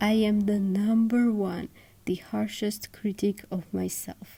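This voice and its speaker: Music plays behind the voice. The delivery is fairly slow in pace. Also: woman. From Georgia (country). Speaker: artist YouTuber. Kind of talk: vlog monologue.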